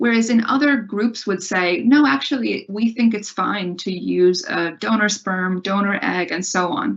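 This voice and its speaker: Noticeable background noise sits behind a woman speaking at a medium pitch with ordinary pitch variation. Her pace is fairly slow, with hardly any pauses. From US Midwest, Ohio. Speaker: university lecturer. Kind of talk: lecture.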